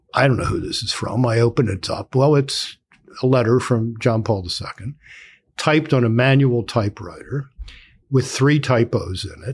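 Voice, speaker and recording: A somewhat breathy male voice keeps a moderate pace. His pitch is medium and varies in an ordinary way. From Baltimore, US. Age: 70s. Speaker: author and political analyst. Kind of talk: casual interview conversation.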